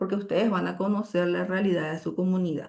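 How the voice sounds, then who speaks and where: A woman with an unremarkable speaking voice speaks at a fairly low pitch with fairly even intonation. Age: 50s. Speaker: university lecturer. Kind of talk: lecture.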